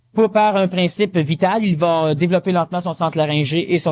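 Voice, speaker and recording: Fairly quick speech comes from a man with a high-pitched voice. Its pitch moves up and down normally. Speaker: lecturer. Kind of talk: lecture. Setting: conference hall with audience. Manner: fast.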